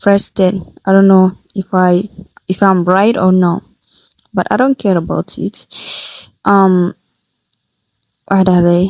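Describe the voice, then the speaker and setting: A woman with a non-native accent speaks at a medium pitch in a flat monotone, fairly slowly, with long, frequent pauses and a dry, close sound free of echo. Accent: non-native, imperfect pronunciation. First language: not English. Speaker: English learner vlogger. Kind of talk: reading aloud from own notes. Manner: halting, self-correcting.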